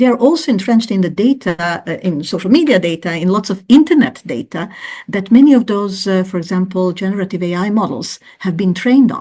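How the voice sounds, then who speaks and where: Somewhat breathy, a woman with a non-native accent speaks at a fairly quick pace with lively intonation. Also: medium pitch for a woman. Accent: non-native English speaker. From Croatia. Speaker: professor. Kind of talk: interview. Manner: hesitant, many fillers.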